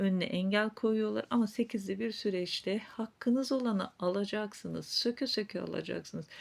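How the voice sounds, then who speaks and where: A fairly high-pitched woman at a fairly slow pace, with ordinary pitch variation, on a very clean recording with a silent background. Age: 40s. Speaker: fortune teller / psychic YouTuber. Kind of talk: fortune-telling reading to viewers.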